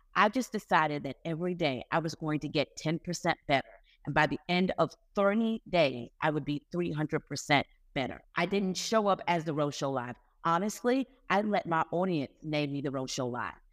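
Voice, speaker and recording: A woman with a very deep, low pitch speaks in an animated tone. The recording is very clean with a silent background, dry and close with no echo. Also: moderate pace. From West Indian family. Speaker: media producer and author. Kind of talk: interview.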